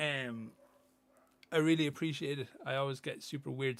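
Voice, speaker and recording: With an Irish accent, a man speaks in a fairly even intonation. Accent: Irish accent, remarked on by chat. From Ireland. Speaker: miniature painting streamer. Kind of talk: casual livestream chat, reading chat messages. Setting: livestream.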